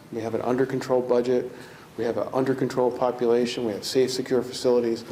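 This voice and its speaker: Over noticeable background noise, a man talks very fast at a medium pitch in a monotone, flat delivery. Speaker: corrections commissioner. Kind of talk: ceremony speech. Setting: ceremony with audience. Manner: soft-spoken.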